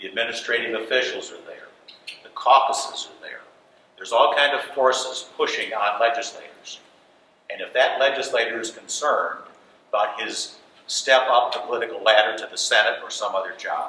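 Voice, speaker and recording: Amid noticeable background noise and audible room echo, a man talks with big swings in loudness. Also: fairly quick pace. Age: 60s. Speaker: political candidate, retired judge. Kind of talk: candidate forum speech.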